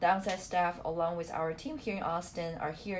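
A somewhat breathy, fairly low-pitched woman's voice in a Chinese accent, at a fairly quick pace. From China. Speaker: study abroad program manager. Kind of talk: webinar presentation.

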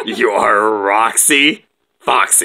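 A man speaks in a cartoonish character voice. His pitch sits in the medium range. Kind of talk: playful puppet show banter. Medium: puppet show. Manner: bossy, exasperated. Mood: correcting.

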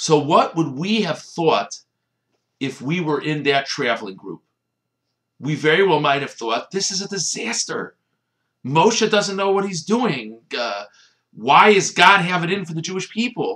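Very wide pitch swings from a man with a bright, sharp tone, quiet background behind him. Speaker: religious teacher. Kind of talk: short sermon. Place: home room. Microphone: webcam.

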